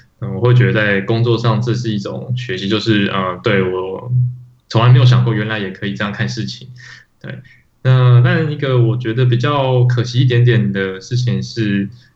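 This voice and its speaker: At a moderate pace, somewhat breathy speech unfolds with fairly even intonation. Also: man, medium pitch for a man. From Taiwan. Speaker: podcast co-host, iOS developer. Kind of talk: casual chat.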